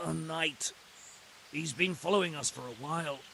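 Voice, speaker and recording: A man puts on a raspy character voice with a fairly high pitch and ordinary pitch variation. He keeps a moderate pace, and background noise is clear. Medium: video game.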